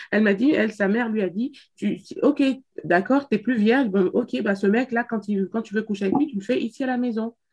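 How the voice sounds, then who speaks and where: At a moderate pace, a woman speaks with a fairly high pitch and ordinary pitch variation. Her voice is somewhat breathy. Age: 30s. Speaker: podcast co-host. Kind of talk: casual chat. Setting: video call.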